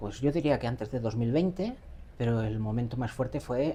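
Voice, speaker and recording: A somewhat breathy voice with a dark, mellow tone speaks at a moderate pace in a Catalan accent. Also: woman. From Catalonia, Barcelona. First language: Catalan (speaking Spanish). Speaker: AI educator. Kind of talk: interview.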